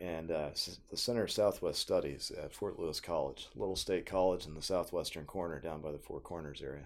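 A man at a fairly quick pace with hardly any pauses. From Oklahoma (Tulsa). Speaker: history professor. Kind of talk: casual interview.

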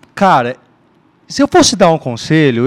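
Recorded dry and close with no echo, a man speaks at a moderate speed. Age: 30s. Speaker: church member sharing love story. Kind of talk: testimony.

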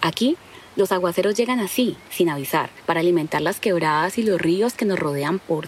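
A woman's fairly low voice with ordinary pitch variation, against noticeable background noise. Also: very even loudness. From Colombia, Caquetá (Florencia). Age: 40s. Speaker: school teacher and narrator. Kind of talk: scripted narration.

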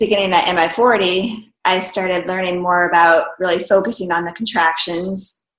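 Audible room echo surrounds a woman's medium-pitched voice. She speaks in a flat monotone. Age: 30s. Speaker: fitness competitor and massage therapist. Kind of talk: interview.

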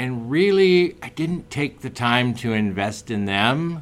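A man's medium-pitched voice with a General American accent, a plain, everyday voice with ordinary pitch variation. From US West, Oregon. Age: 50s. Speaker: entrepreneur. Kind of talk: interview. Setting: studio.

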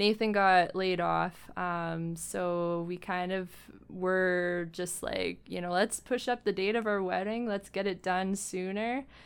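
In a very clean recording with a silent background, a woman with a Western Canadian accent speaks very slowly at a medium pitch. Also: fairly even intonation. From Alberta, Canada. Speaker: massage therapist. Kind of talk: casual interview.

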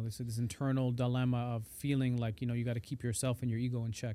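The man's medium-pitched voice races along at a very fast pace. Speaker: podcast host and poet. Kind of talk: casual interview. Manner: playful, jokey.

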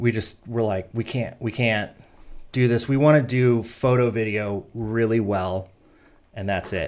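In a very clean recording with a silent background, a man speaks at a fairly slow pace and medium pitch, his tone calm and relaxed and his intonation fairly even. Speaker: photo and video business owner. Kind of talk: casual interview. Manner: calm, relaxed.

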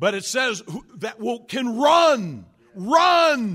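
A man uses a raised, projected voice with a bright, sharp tone. The recording is very clean and the background silent. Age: 60s. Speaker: pastor. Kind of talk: sermon. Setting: church. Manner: halting, many fillers.

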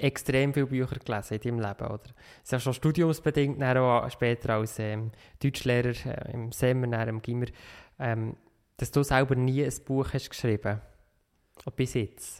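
The speaker has a Swiss accent and fairly even intonation at a moderate pace, with long, frequent pauses. The recording is very clean with a silent background. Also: man. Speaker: podcast host. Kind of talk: interview. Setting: meeting room.

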